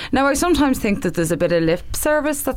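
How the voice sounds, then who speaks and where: A woman speaks in a Dublin accent with ordinary pitch variation. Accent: Irish (Dublin). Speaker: election candidate. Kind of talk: casual chat.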